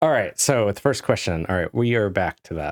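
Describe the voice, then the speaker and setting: A man with a normal speaking voice talks at a moderate pace in a fairly low pitch. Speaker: chemistry instructor. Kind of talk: exam review session. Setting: video call.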